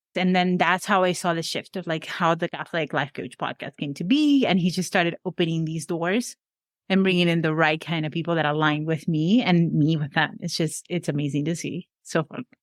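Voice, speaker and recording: A woman's fairly low-pitched voice with a Venezuelan accent, fairly quick with ordinary pitch variation, on a very clean recording with a silent background and a dry, close sound with no echo. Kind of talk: podcast interview.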